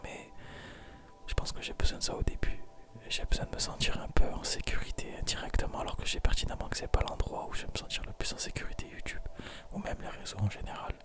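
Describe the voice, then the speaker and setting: Whispering in a calm tone at a fairly quick pace, a man leaves long, frequent pauses, his loudness swinging widely over noticeable background noise. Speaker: ASMR content creator. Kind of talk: confessional talk to camera about life. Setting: recorded alone at night, intimate close microphone. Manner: whispered, soft-spoken, calm; tired, hesitant, pausing often.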